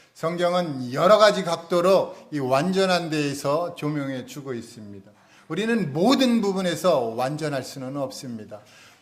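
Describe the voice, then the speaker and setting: A man talks at a fairly slow pace with a fairly high pitch. His pitch swings very widely. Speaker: pastor. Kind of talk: sermon. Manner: slow, unhurried.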